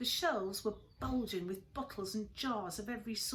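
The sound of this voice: Pitch shifts in an ordinary way as this unforced reading voice goes on.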